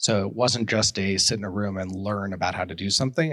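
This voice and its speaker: Ordinary pitch variation marks this man's speech in an American accent. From New York City. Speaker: hotel technology executive. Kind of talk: interview conversation. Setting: office high-rise.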